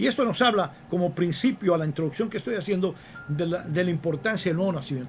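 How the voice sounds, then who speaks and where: A man talks at a very fast pace. His high voice has lively intonation. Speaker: radio preacher. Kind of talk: sermon.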